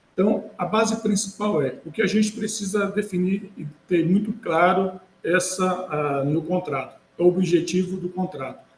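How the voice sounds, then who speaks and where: A man's high voice, with ordinary pitch variation, comes at a fairly slow pace. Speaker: lawyer, healthcare management consultant. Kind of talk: webinar presentation. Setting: online webinar. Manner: hesitant, many fillers.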